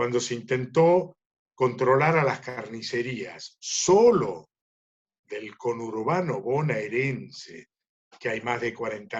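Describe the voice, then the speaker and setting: A somewhat breathy man with a medium pitch speaks at a very slow pace. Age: 70s. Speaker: livestock market analyst. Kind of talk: webinar Q&A talk.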